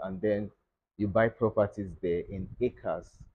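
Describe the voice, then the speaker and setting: Speaking at a fairly slow pace, a man uses a normal speaking voice at a fairly low pitch with fairly even intonation. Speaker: guest. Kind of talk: interview answer. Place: studio.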